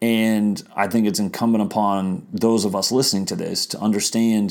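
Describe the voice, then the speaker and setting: The voice is an unremarkable speaking voice with an American accent. It moves at a fairly quick pace. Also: man. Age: 40s. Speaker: political podcast host. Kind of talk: solo political commentary podcast.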